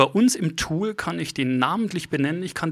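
A man with a fairly high pitch speaks at a very fast pace. The recording is very clean, with a silent background. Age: 40s. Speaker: insurance key account manager. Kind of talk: interview. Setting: in person at a meeting venue.

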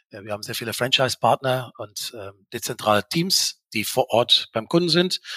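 Bright and sharp in tone, a man at medium pitch speaks with lively intonation and big swings in loudness. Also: moderate pace, dry, close sound with no echo. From Belgium, Dutch-speaking. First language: Dutch (speaking German). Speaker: mortgage broker executive. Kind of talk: interview. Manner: hesitant, many fillers.

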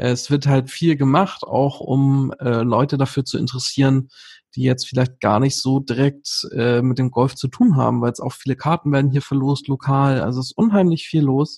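A man speaks at a moderate pace in a medium pitch, his somewhat breathy voice keeping a fairly even intonation. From northern Germany, near Hamburg. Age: 30s. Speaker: amateur golfer and Instagram creator. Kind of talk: casual interview chat.

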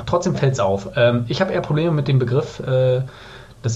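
Fairly quick speech from a man, amid noticeable background noise and audible room echo. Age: 30s. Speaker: podcast guest, recent vegan. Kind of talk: casual interview chat.

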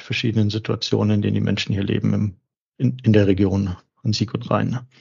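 A man speaks in a somewhat breathy voice. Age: 40s. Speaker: charity executive. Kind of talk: interview.

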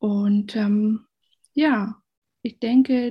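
Her fairly high pitch paired with a dark, mellow tone, a woman speaks. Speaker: van traveller and travel blogger. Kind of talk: interview answers.

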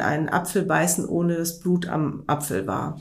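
Audible room echo surrounds a woman's voice. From Rhineland, western Germany (Wermelskirchen). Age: 50s. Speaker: weight-loss client. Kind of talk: interview.

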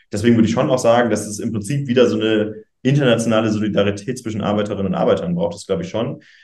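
A man's very fast speech at a medium pitch, with big swings in loudness, ordinary pitch variation and audible room echo. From northern Germany, Schleswig-Holstein. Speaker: youth political spokesperson. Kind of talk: interview.

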